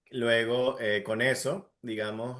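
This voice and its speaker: Against a quiet background, a man speaks with an Andean Venezuelan accent. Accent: Andean Venezuelan (gocho). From Venezuelan Andes (Táchira/Mérida). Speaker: entrepreneur, industrial engineer. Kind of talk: casual interview.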